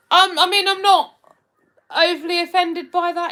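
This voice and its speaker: A woman's extremely high, bright, sharp voice at a moderate pace, with a Hertfordshire accent. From England, Hertfordshire. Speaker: live streamer. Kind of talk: casual chat reading live comments. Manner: hesitant, many fillers.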